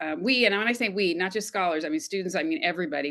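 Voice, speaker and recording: Very wide pitch swings from a woman with an American accent. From US West, Los Angeles. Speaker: retired communication professor. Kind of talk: panel discussion.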